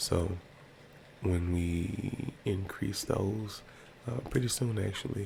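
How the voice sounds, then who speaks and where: Against noticeable background noise, a man speaks with a fairly low pitch and fairly even intonation. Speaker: content creator. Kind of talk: casual monologue. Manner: casual, hesitant with fillers.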